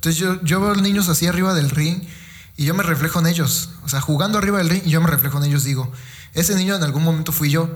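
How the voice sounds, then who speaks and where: Very fast and at a high pitch, a man speaks with fairly even intonation and very even loudness, with audible room echo. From Mexico, Veracruz (Fortín de las Flores). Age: 20s. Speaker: professional wrestler. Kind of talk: casual interview. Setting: physiotherapy clinic. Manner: halting, many fillers.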